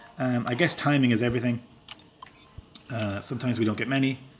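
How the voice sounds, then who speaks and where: Noticeable background noise behind a man speaking very fast. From rural Ireland. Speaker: gaming streamer. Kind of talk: live stream commentary. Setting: live stream while playing a game. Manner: casual, hesitant with fillers.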